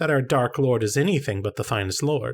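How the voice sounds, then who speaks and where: A man puts on a character voice at a medium pitch. His pace is fairly quick. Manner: servile, eager to please.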